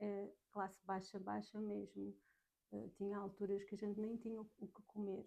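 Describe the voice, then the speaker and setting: In a Lisbon accent, a soft-spoken woman talks at a moderate pace with a medium pitch. Her tone is dark and mellow, and her intonation is monotone and flat. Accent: European Portuguese (Lisbon). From Portugal, south bank of Lisbon. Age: 40s. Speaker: podcast guest. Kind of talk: interview testimony.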